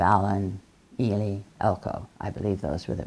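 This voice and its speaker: Very deep and low, a woman's voice carries a dark, mellow tone with vocal fry. She speaks at a moderate pace in an American accent. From southwestern Colorado, US. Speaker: social worker and women's rights activist. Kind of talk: oral history interview. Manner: halting, many fillers.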